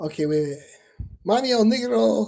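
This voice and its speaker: This is a man with a high pitch. He speaks at a moderate pace. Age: 60s. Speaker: livestreamer reading chat comments. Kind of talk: casual chat. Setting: livestream. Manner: animated.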